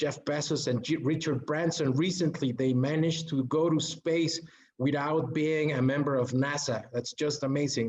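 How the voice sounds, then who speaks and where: A man talks at a moderate pace with a fairly high pitch. His voice is somewhat breathy and his intonation fairly even. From Mexico City, Mexico. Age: 30s. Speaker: education executive presenting a workshop. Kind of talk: online workshop presentation. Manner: halting with filler words and repetitions.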